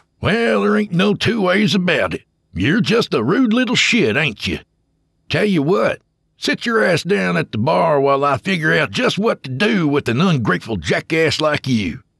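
In a put-on character voice with a Southern US accent, a man growls in a gruff, fairly high pitch with very wide pitch swings at a moderate pace, the sound dry and close with no echo. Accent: Southern drawl. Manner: gruff, growling, irritated.

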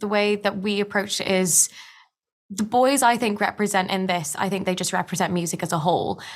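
In a normal speaking voice, a woman talks at medium pitch and a moderate pace with fairly even intonation. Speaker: actress. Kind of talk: interview.

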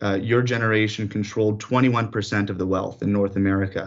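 Speaking at a very fast pace with a Canadian accent, a man holds a medium pitch and fairly even intonation. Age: 20s. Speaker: city councillor. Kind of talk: radio interview.

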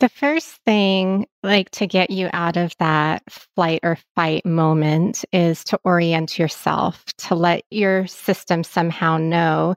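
A woman speaks very slowly at a fairly low pitch with fairly even intonation, the sound dry, close and free of echo. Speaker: wellness and yoga coach. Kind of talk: interview. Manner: soothing.

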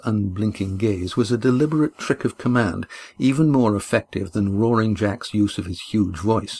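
An unforced reading voice shifts in pitch in an ordinary way.

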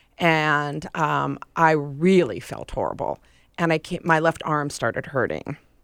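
In a very clean recording with a silent background, a woman with a very deep, low pitch speaks at a fairly slow pace with fairly even intonation. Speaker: heart attack survivor. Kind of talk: interview.

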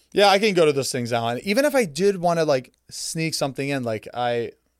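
A man with a plain, everyday voice, fairly quick pace and lively intonation. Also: very clean recording, silent background. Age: 30s. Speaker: content creator and podcast host. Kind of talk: casual chat.

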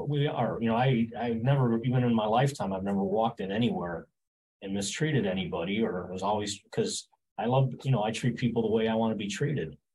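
A man talks at a very fast pace, somewhat breathy. His intonation is lively. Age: 60s. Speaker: gym owner. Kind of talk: interview.

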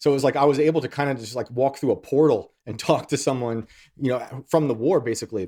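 A man with a New York accent talks very fast at a fairly high pitch with ordinary pitch variation. The recording is very clean, with a silent background. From New York, US. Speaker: author and journalist.

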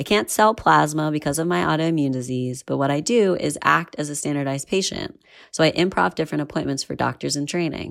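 At a fairly quick pace, a woman with an American accent talks in a very deep, low pitch and lively intonation. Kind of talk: recorded voicemail, personal story.

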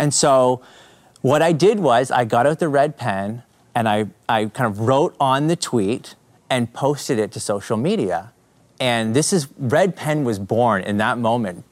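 In a normal speaking voice, a man with a Canadian accent talks at a medium pitch with lively intonation. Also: fairly slow pace. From Canada. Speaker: apologetics speaker and YouTube creator. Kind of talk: casual interview chat.

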